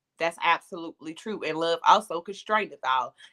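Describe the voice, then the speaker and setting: Dry and close with no echo, a woman speaks at a moderate pace in a bright, sharp tone with ordinary pitch variation. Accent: American. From US South, Atlanta, Georgia. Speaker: podcast host. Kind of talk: panel discussion. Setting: live stream.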